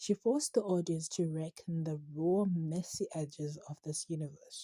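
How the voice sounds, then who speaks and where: A woman's somewhat breathy voice with a fairly low pitch, a dark, mellow tone, fairly even intonation and a fairly slow pace. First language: not English. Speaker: TV series reviewer. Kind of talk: commentary reading from a script with asides. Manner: halting, stumbles over words.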